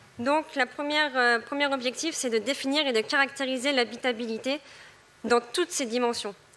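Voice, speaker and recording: There is noticeable background noise as a woman speaks at a moderate pace with a high pitch. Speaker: development council member presenting a project. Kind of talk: timed forum presentation. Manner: hesitant, many filler sounds.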